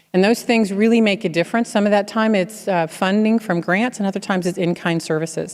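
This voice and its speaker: A woman of medium pitch speaks at a very fast pace with hardly any pauses, fairly even intonation and very even loudness. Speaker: keynote speaker, healthcare technology executive. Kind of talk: keynote speech with Q&A.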